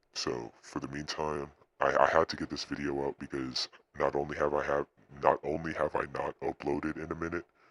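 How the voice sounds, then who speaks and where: A man speaks at a fairly quick pace with a very deep, low pitch, vocal fry, and monotone, flat intonation, in a dry, close sound with no echo. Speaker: tech tutorial youtuber. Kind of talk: tutorial. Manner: halting.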